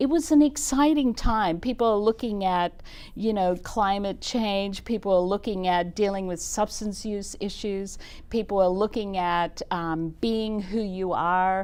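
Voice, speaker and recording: A woman with an Australian accent speaks at a fairly slow pace and a medium pitch, with ordinary pitch variation. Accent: Australian accent, noticeable. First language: German. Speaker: nonprofit executive director. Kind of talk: talk show interview. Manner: energetic.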